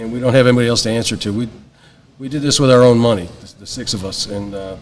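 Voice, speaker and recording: The speech comes at a very fast pace with long, frequent pauses, fairly even intonation and big swings in loudness. Room echo and noticeable background noise can be heard. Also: man. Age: 60s. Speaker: paramedic educator and retired fire chief. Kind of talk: casual interview chat. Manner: halting, many fillers.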